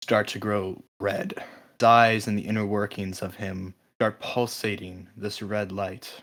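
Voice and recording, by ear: The text is read aloud in a natural voice whose intonation stays fairly even.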